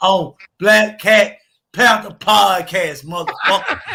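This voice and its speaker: A man with a high pitch and a bright, sharp tone speaks in a raised, projected voice. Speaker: sports podcast panelist. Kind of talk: heated casual debate. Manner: loud; animated.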